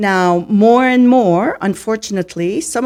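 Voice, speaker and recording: A woman's dark, mellow tone in a French Canadian accent, on a very clean recording with a silent background. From Canada, Ottawa Ontario. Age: 60s. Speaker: retired teacher and teacher trainer. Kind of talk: interview. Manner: slow, clear.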